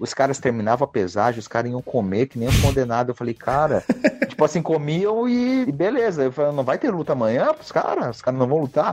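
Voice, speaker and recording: In an ordinary speaking voice, a man of fairly high pitch speaks at a fairly quick pace with lively intonation. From southern Brazil, Joinville, Santa Catarina. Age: 20s. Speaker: MMA fighter. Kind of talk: casual interview chat.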